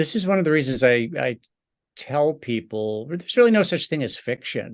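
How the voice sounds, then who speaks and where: Over a quiet background, a man with an unremarkable speaking voice talks at a moderate pace with lively intonation. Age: 60s. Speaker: podcast host and novelist. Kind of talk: interview conversation.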